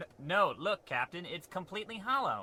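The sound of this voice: A man puts on a character voice, high in pitch with big swings. The tone is bright and sharp, and the pace is moderate.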